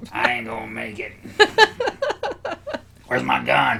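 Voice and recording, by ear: A man puts on a raspy character voice with a very deep, low pitch, speaking at a moderate pace.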